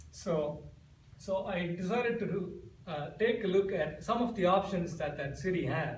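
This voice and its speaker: Audible room echo surrounds a man with an Indian accent who speaks in a high voice with lively intonation. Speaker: amateur comedic speaker. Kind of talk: humorous contest speech. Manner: animated.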